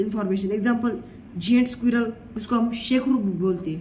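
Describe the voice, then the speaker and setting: A man with a Marathi accent and an extremely high pitch, ordinary pitch variation and audible room echo. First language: Marathi (speaking Hindi). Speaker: teacher. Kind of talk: lecture. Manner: halting.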